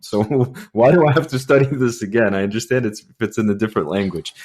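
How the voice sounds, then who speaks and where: A man speaks with a Russian accent. The recording is very clean and the background silent. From Russia (Soviet Union). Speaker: podcast host, news editor. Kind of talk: interview. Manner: halting, many repetitions.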